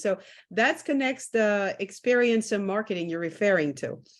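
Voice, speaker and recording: Speaking in a French accent, a woman keeps a moderate pace and medium pitch with ordinary pitch variation. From France. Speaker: interviewer. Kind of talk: interview.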